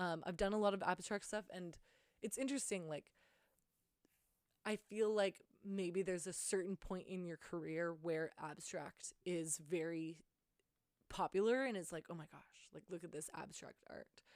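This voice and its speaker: A woman's fairly low voice at a moderate pace, with ordinary pitch variation, long and frequent pauses, and big swings in loudness. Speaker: artist podcaster. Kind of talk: casual solo monologue. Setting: alone in her room with handheld recorder. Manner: halting, stumbling over words; filler-heavy, like and um.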